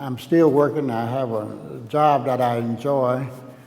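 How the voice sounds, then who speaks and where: There is audible room echo as a man with an Alabama accent speaks at medium pitch. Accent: Southern US (Alabama). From US South, Alabama (Tuscaloosa). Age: 70s. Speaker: painter. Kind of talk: artist talk, open dialogue. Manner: halting, many fillers.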